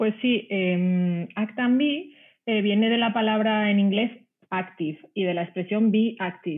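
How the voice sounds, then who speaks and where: Here is a woman with a fairly high pitch and an ordinary speaking voice. She talks at a fairly slow pace. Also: ordinary pitch variation. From Spain, Ciudad Real (Castilla-La Mancha). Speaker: sustainable sportswear brand founder, former journalist. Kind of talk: interview conversation.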